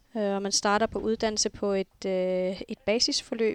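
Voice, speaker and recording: A woman speaks at medium pitch. Her intonation is fairly even. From Greenland, Nuuk. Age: 40s. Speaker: flight information officer. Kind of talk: interview.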